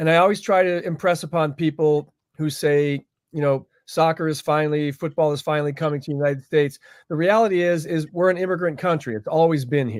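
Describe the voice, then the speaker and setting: A man talks fairly quickly in a fairly high pitch with ordinary pitch variation. The recording is very clean, the background silent. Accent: Midwestern. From US Midwest, Cleveland Ohio. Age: 60s. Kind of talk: interview.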